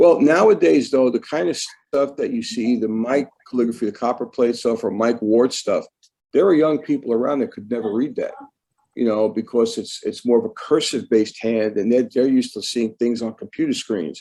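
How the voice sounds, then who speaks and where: A man speaks in a Brooklyn accent. His pace is fairly quick. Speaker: calligrapher. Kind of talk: casual chat. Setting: video call. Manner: slurred.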